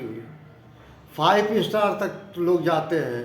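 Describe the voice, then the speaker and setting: A man with a high pitch speaks with audible room echo. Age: 60s. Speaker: spiritual talk vlogger. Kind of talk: moral discourse monologue.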